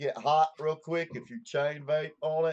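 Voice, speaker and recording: Speaking very slowly, a man talks with a Southern US accent. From US South. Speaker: vaping channel host. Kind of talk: casual chat.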